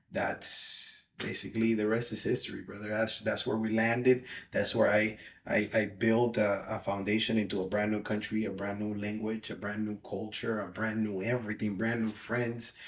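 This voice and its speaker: With a Spanish accent, a man talks at a moderate pace in a fairly low pitch and a monotone, flat intonation. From Dominican Republic. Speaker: pastor. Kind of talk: podcast interview.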